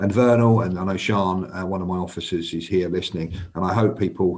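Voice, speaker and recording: Spoken very fast with a North London accent, the delivery stays monotone and flat. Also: man. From North London, England. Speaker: senior police officer. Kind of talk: live panel talk. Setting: live online stream. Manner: halting, many fillers.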